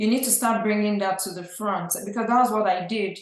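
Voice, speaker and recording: In a room with audible echo, a woman with a Nigerian accent speaks in a medium pitch with ordinary pitch variation. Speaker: real estate investor. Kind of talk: podcast interview.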